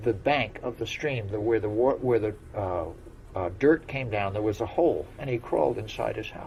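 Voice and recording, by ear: The speaker reads aloud in a natural voice, with ordinary pitch variation throughout.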